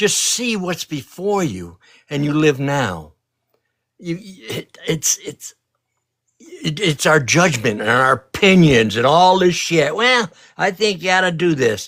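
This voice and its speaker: At a very slow pace, a man speaks with a fairly high pitch that swings very widely. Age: 80s+. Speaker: spiritual elder guest in live stream chat. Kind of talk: casual chat. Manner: emphatic, repetitive.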